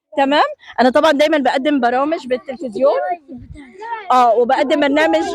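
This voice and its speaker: A high-pitched, animated woman with a Jordanian accent at a moderate pace, over noticeable background noise. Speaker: TV presenter. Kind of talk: on-location TV report with street interviews.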